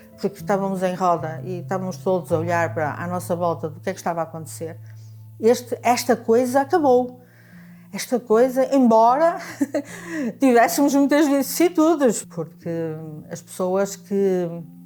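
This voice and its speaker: A woman with a dark, mellow tone talks at a moderate pace and medium pitch, her voice making very wide pitch swings. Her loudness swings widely too, and she leaves long, frequent pauses. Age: 70s. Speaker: retired bank clerk, anti-dictatorship activist. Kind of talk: oral history testimony. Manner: halting, many repetitions and fillers.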